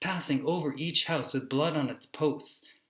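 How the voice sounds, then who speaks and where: A man talks in a normal speaking voice. His pitch is fairly high. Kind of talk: spoken word poetry.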